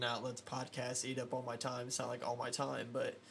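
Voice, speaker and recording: A man's medium-pitched voice stays monotone and flat as he talks fairly quickly. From small town. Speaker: podcast host and drummer. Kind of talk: casual chat. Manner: loud.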